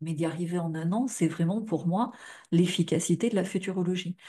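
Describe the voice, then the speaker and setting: A woman talks at a moderate pace against a quiet background. Her somewhat breathy voice has a fairly low pitch, a dark, mellow tone and fairly even intonation. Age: 40s. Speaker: futurologist and life coach. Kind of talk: live stream talk to viewers. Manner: casual, filler-heavy.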